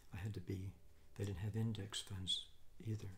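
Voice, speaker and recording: There is noticeable background noise as a man with an American accent speaks at a moderate pace. His voice is somewhat breathy and fairly low in pitch. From United States. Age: 60s. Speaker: retired financial analyst. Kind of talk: casual advice monologue. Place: home room.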